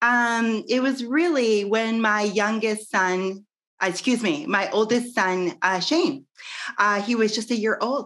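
The speaker has a Midwestern American accent and talks at a very slow pace. The background is quiet. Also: woman. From US Midwest. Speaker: network marketer and business owner. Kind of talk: interview. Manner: animated. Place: home room. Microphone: video call.

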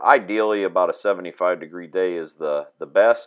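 The voice belongs to a man. Nothing else can be heard around him. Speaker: tractor technician. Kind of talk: tutorial. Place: farm machine. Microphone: camera far.

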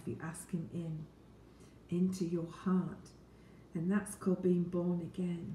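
A woman speaks very slowly in a fairly low, flat monotone, her dark, mellow voice somewhat breathy, with audible room echo and light background noise. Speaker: Bible teacher. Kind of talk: Bible reading and teaching talk. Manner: warm, friendly. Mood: calm, earnest. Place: kitchen. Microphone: phone near.

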